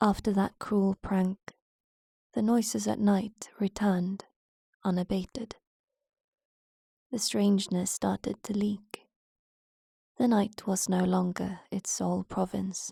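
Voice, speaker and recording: Soft-spoken and somewhat breathy, a woman with a medium pitch and a dark, mellow tone speaks fairly slowly with fairly even intonation. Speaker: horror narrator. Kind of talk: horror story narration.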